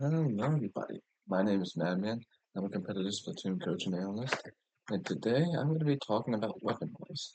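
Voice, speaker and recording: Soft-spoken and very fast, a man with a medium pitch moves through very wide pitch swings. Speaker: competitive video game coach and analyst. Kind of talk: tutorial. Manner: soft, ASMR-like quiet speaking; casual, loose with fillers.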